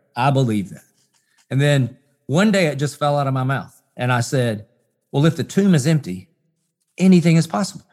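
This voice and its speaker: A fairly high-pitched man with a Southern US accent, lively intonation, a moderate pace and long, frequent pauses. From US South. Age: 40s. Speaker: pastor. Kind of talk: interview.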